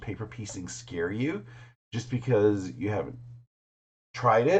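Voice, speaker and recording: Vocal fry with ordinary pitch variation. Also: man. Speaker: quilter. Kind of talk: casual vlog talk to camera.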